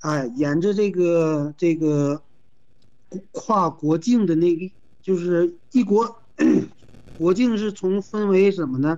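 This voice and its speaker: Speaking very slowly with long, frequent pauses, a man uses a high-pitched voice with a dark, mellow tone and ordinary pitch variation. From Manzhouli, Inner Mongolia, China. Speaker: travel company manager. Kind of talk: interview. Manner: halting.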